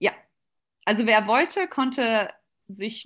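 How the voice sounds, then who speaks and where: The background is quiet. This woman talks at a very slow pace. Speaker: competitive swimmer. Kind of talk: interview. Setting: video call.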